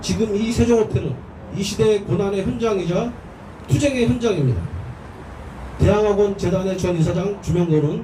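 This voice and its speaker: The voice comes at a moderate pace through audible room echo and noticeable background noise. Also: man. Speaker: speaker at a labor prayer rally. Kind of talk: protest rally speech.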